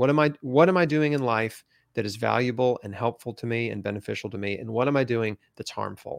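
A man speaks in an ordinary speaking voice at medium pitch and a moderate pace, with ordinary pitch variation. The recording is very clean and dry, with a silent background, a close sound, and no echo. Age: 40s. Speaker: cancer survivor and patient advocate. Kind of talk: interview.

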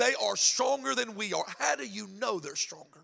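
A man's raised, projected voice, bright and sharp in tone and animated. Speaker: pastor. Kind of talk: sermon. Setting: church.

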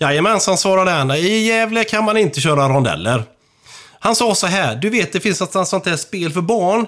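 On a very clean recording with a silent background, a high-pitched man speaks at a moderate pace with lively intonation and very even loudness. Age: 50s. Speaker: traffic controller. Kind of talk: casual chat.

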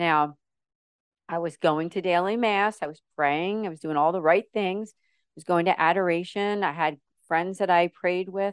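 A woman's plain, everyday voice at a fairly low pitch, moderate pace and fairly even intonation, with big swings in loudness. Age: 50s. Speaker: model, actress and ministry founder. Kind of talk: interview testimony.

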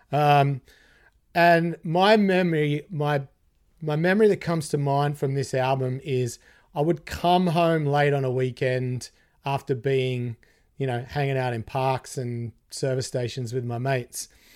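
A man with an Australian accent speaks at a fairly slow pace in a fairly high voice. His pitch varies in an ordinary way, and the recording is very clean with a silent background. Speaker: guitarist. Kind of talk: casual chat.

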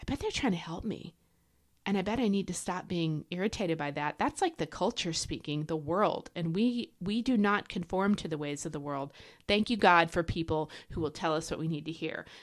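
In a very clean recording with a silent background, a woman speaks with an animated tone at a fairly quick pace, her pitch fairly low with ordinary variation. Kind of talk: Bible teaching podcast monologue. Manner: fast.

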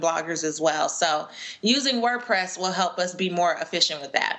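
The speaker has an American accent and an unremarkable speaking voice. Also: woman. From US West Coast, Los Angeles. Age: 30s. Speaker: personal finance educator and speaker. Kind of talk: interview. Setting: video call.

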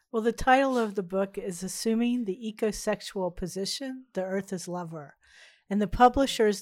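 A woman's normal speaking voice at a medium pitch, fairly quick and with ordinary pitch variation, on a very clean recording with a silent background. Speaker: university professor and artist. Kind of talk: casual interview chat.

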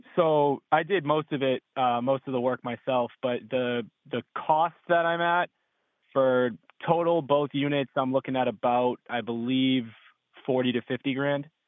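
Using a normal speaking voice, a man talks fairly slowly at a medium pitch with fairly even intonation. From Massachusetts. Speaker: caller, electrician and landlord. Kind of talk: phone-in advice call. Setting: phone call.

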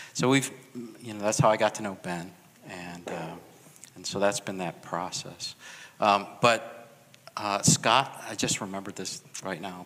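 A man with a Chicago accent talks at a fairly slow pace, leaving long, frequent pauses. His pitch is fairly low and his intonation fairly even, while his loudness swings widely. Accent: Chicago American English. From US Midwest, Chicago. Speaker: pastor. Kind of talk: testimony.

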